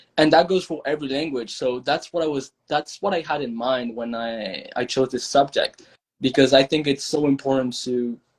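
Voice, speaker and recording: Speaking with a French accent, a man keeps a moderate pace and a fairly high pitch with ordinary pitch variation. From France. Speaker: language learner. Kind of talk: podcast interview. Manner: halting, with self-corrections.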